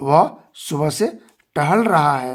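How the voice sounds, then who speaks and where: In a very clean recording with a silent background, a man is speaking. His pitch swings very widely. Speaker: English teacher. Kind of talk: tutorial.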